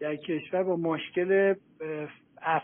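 His intonation stays mostly level. The man's voice sits high. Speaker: researcher and author on environmental political economy. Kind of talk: lecture. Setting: online audio room. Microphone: voice sometimes weak, connection dropouts.

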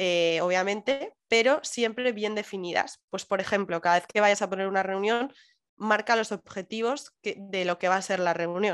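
A woman with a plain, everyday voice speaks at a moderate pace and medium pitch with ordinary pitch variation, in a very clean recording with a silent background. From Madrid, Spain. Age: 20s. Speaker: digital nomad remote worker. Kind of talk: interview.

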